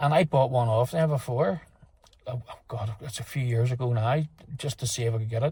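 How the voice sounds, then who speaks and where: A man's somewhat breathy voice at a medium pitch, dark and mellow in tone, fairly quick in pace, with ordinary pitch variation. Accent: Northern Irish. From Northern Ireland. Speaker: motorcycle vlogger. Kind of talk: product review. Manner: halting, many fillers and repeats; casual.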